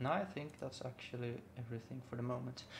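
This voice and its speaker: With a non-native accent, a man speaks at a medium pitch. His pace is moderate and his intonation fairly even. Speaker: music producer. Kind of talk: tutorial. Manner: halting, many fillers.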